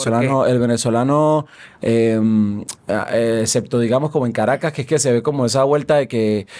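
A man talks at a fairly quick pace in a dark, mellow tone. His intonation is fairly even and his loudness very even. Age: 30s. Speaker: musician; podcast guest. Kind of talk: podcast interview. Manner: hesitant, many fillers. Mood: relaxed, reflective. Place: studio. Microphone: studio mic.

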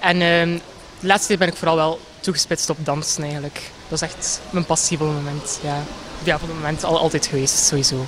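Over noticeable background noise, a man talks at a fairly quick pace in a fairly high pitch with monotone, flat intonation. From Belgium, West Flanders (Ypres). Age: 20s. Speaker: pageant contestant. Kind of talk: short interview. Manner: hesitant, many fillers. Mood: cheerful, smiling. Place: garden. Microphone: handheld.

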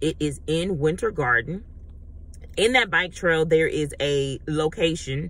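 At a fairly slow pace, a woman speaks with a very deep, low pitch. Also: dry sound with no echo. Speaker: travel vlogger. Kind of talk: casual vlog chat. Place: car. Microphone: phone near.

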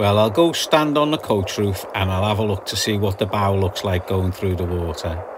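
A man with a fairly low pitch at a moderate pace, with noticeable background noise. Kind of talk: casual vlog commentary. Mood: relaxed, contented. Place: boat. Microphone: phone near.

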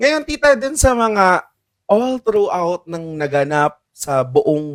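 The recording is dry and close with no echo. A man's voice swings very widely in pitch. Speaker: choir podcast host. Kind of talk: casual chat.

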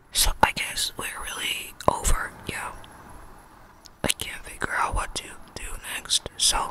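Whispering and soft-spoken at a fairly slow pace, the voice shows big swings in loudness, with a dry sound with no echo and light background noise. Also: woman. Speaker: ASMR creator. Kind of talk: casual vlog chat. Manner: soft close-mic ASMR whisper. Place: home room. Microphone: studio mic.

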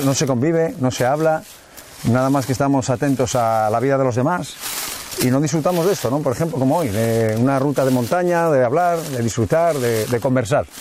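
A man talks at a fairly quick pace with ordinary pitch variation and very even loudness, the sound dry with no echo and light background noise behind him. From Langreo, Asturias, Spain; Asturias, Spain. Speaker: international football referee; guest. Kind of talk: casual chat while hiking. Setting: outdoors on a hiking route. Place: forest. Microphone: lapel.

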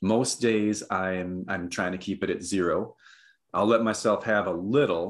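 Over a quiet background, a man with an American accent speaks at a fairly slow pace. His voice is fairly low, with fairly even intonation. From northern Minnesota. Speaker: author and psychologist; podcast guest. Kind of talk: casual interview chat. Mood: reflective, calm. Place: home room.

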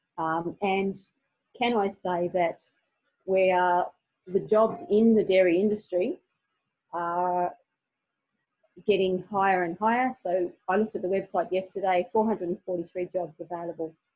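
With an Australian accent, a woman of medium pitch talks at a moderate pace with fairly even intonation and long, frequent pauses. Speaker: teacher. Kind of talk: webinar presentation. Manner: halting.

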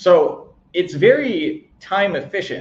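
A man's voice comes through with some echo from the room and a little noise behind it. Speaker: video marketing coach; online marketing creator. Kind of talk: tutorial. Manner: occasional stumbles.

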